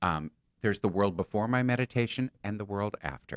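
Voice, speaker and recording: A man uses a normal speaking voice at a fairly low pitch and fairly quick pace, with a dry, close sound with no echo and a quiet background. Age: 60s. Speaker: psychic and stand-up comedian. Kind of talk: casual chat.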